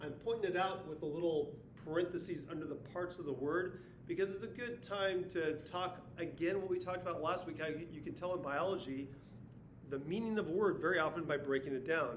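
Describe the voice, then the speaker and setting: A man with a high voice talks at a fairly quick pace with ordinary pitch variation, while audible room echo and noticeable background noise fill the recording. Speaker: science teacher. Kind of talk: video lesson recap. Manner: fast.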